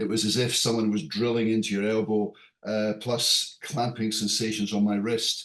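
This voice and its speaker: A man speaks with a British accent at medium pitch and a moderate pace. His intonation is monotone and flat, and his loudness is very even. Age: 60s. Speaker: airline pilot, patient. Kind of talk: patient testimonial. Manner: halting, many fillers.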